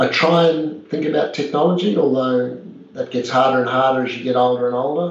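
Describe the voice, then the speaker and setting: Someone with an Australian accent talks at a fairly quick pace with ordinary pitch variation over noticeable background noise. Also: man, medium pitch for a man. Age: 50s. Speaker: property developer. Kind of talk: interview conversation.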